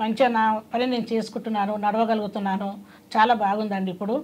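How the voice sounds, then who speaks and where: A woman's voice sits at a fairly high pitch, with a dark, mellow tone. It is somewhat breathy, and her intonation stays fairly even. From Hyderabad, Telangana, India. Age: 50s. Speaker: patient. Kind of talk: testimony.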